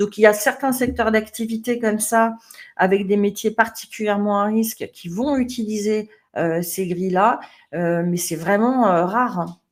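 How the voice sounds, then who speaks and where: The pace is fairly slow. It is an unremarkable speaking voice with ordinary pitch variation. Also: woman, fairly high pitch for a woman. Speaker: management trainer. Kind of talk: webinar presentation. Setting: online webinar.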